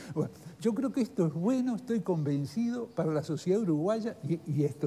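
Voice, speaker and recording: Dark and mellow in tone, a man's voice makes very wide pitch swings at a fairly quick pace. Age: 80s+. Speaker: former ambassador. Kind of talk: TV interview. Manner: halting.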